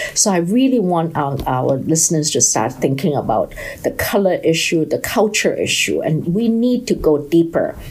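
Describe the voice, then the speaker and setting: With a Chinese accent, a woman talks with hardly any pauses and very even loudness. Noticeable background noise runs underneath. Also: moderate pace. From China. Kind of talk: podcast monologue. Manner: halting.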